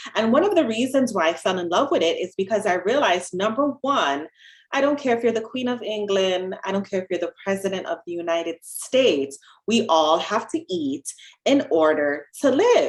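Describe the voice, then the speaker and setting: A woman speaks with a Jamaican accent. Her pitch swings very widely. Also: medium pitch for a woman, moderate pace. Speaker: dietitian. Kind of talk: podcast interview.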